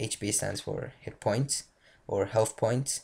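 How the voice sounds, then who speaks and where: The speaker has a non-native accent. The delivery comes at a very slow pace. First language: not English. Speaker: game development tutorial maker. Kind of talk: tutorial. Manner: halting, many fillers and restarts.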